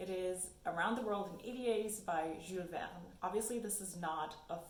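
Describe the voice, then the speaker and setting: A woman at medium pitch with ordinary pitch variation and a moderate pace, amid audible room echo and noticeable background noise. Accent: German. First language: German. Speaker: book YouTuber. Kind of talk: casual vlog talk.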